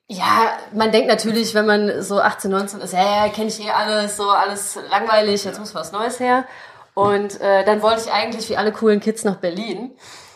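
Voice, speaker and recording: Over noticeable background noise, a woman with a fairly high pitch speaks at a moderate pace in a monotone, flat intonation. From Germany, Krefeld (Lower Rhine). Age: 20s. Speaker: writer and editor. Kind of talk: casual interview.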